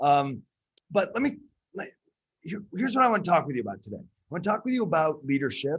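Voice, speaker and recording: A speaker with vocal fry talks at a fairly quick pace, pitch swinging very widely. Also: man. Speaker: leadership speaker and consultant. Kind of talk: webinar presentation. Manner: energetic, repetitive fillers.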